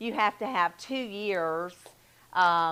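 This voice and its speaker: A woman with a Southern US accent, fairly low pitch, ordinary pitch variation and a fairly slow pace. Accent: Southern twang. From US South, Selma, Alabama. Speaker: mental health counselor. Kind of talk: talk to a church group.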